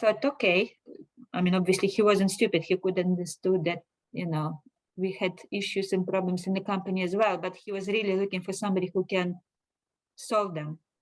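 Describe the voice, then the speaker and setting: With a Russian accent, a woman speaks at a medium pitch. Her pace is fairly quick and her intonation fairly even. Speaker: finance director. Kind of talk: interview.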